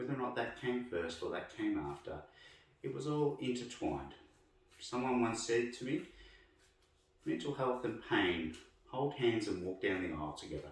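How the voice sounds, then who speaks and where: A man at medium pitch speaks at a moderate pace with very wide pitch swings, while audible room echo and noticeable background noise fill the recording. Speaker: myotherapist. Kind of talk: personal explanatory narration.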